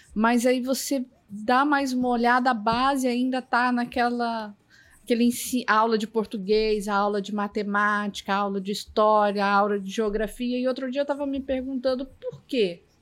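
A woman speaks in a plain, everyday voice, fairly high in pitch, at a moderate pace with fairly even intonation. The recording is very clean, with a silent background. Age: 40s. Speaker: technology professional. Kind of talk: casual panel discussion.

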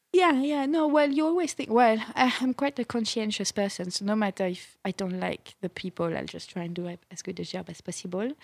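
A woman's fairly high voice in a French accent, at a fairly quick pace with hardly any pauses, very wide pitch swings, and big swings in loudness, in a dry, close sound with no echo on a very clean recording with a silent background. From France. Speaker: TV producer. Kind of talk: casual interview.

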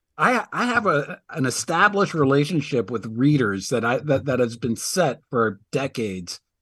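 Against a quiet background, a man talks at a moderate pace and medium pitch, with very wide pitch swings and hardly any pauses. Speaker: sports media reporter. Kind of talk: interview. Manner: halting, repeats words.

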